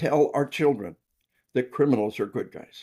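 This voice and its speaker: This voice moves through very wide pitch swings. It comes with an American accent. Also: man. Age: 60s. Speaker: military officer and first responder trainer. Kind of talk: podcast interview. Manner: animated; repetitive stammering.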